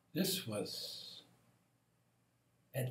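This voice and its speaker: A man's voice comes across somewhat breathy. Audible room echo surrounds it. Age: 70s. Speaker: meditation teacher. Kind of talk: spiritual reflection monologue. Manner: slow.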